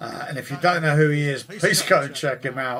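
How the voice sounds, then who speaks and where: There is noticeable background noise in this clip. A man speaks with an English accent. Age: 60s. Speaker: guitar teacher. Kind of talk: live stream chat. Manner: hesitant, many fillers.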